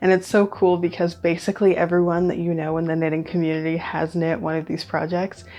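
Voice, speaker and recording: Soft-spoken and fairly low-pitched, a woman rushes along at a very fast pace in a flat monotone with hardly any pauses. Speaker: knitting podcaster. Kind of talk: casual chat. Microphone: nice mic.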